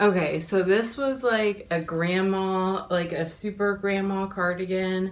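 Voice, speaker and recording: A woman talks at a medium pitch and a fairly slow pace with hardly any pauses. She has an unremarkable speaking voice and fairly even intonation. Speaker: DIY and resale vlogger. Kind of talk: casual vlog.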